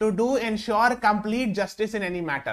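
Over a quiet background, a man with a high voice talks at a moderate pace with ordinary pitch variation. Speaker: online exam-prep teacher. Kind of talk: lecture.

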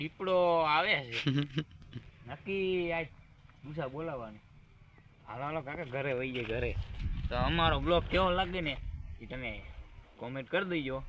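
A man with a normal speaking voice and fairly high pitch talks with ordinary pitch variation. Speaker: village vlogger. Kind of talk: casual vlog chat. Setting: outdoors on farm.

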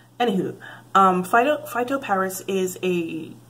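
A woman talks at a fairly slow pace. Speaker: beauty vlogger. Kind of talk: casual product review chat. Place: home room.

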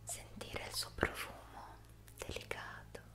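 A soft-spoken woman's whisper. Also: fairly slow pace. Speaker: ASMR relaxation guide. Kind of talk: soft guided relaxation talk. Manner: soft whispered ASMR voice. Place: home room. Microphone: studio mic.

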